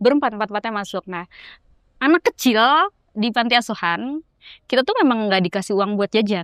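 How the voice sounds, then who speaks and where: A woman with a Jakarta accent speaks at a fairly quick pace in a fairly high voice, with ordinary pitch variation, long, frequent pauses, and a dry, close sound with no echo. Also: very clean recording, silent background. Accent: Jakarta Indonesian. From Jakarta, Indonesia. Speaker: traveller. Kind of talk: casual chat.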